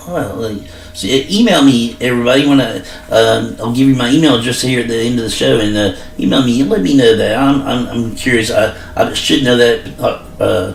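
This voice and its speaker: Moderate-paced speech from a man, backed by noticeable noise and an audible echo off the room. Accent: American. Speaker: sports podcast host. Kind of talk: casual solo sports talk podcast. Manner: halting, many fillers.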